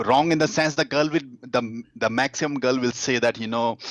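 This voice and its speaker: The sound is dry and close, with no echo. Pitch variation is ordinary. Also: man. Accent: Indian. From India. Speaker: dating coach. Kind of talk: interview. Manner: halting, many fillers.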